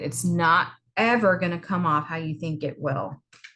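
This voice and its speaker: A woman speaks loudly at a moderate pace in a bright, sharp tone. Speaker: college instructor. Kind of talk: video lecture.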